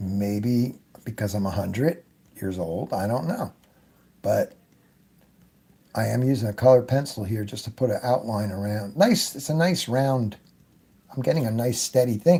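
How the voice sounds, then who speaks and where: Lively intonation and a dark, mellow tone come from a somewhat breathy man who leaves long, frequent pauses. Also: medium pitch for a man, moderate pace. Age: 70s. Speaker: airbrush artist. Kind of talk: tutorial. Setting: live stream. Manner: casual.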